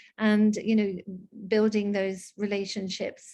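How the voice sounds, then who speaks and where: Monotone, flat intonation from a woman with a slight Scottish accent, at a moderate pace. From Scotland, raised abroad. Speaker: diplomat. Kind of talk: interview. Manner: halting, many fillers.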